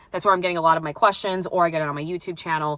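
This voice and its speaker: A woman speaks with a New York accent. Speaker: plumbing apprentice and vlogger. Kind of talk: casual vlog chat. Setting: at home. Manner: hesitant, lots of fillers.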